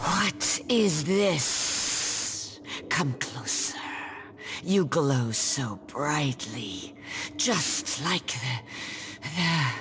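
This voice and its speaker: A woman's put-on character voice, very deep and low in pitch, at a very slow pace with long, frequent pauses over clear background noise. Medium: video game. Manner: halting, dreamlike.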